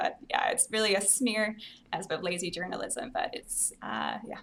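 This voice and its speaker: With an American accent, this speaker moves along at a fairly quick clip. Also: woman. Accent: sounds kind of American rather than Scottish. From Scotland. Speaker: pro-life advocate and commentator. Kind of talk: interview conversation.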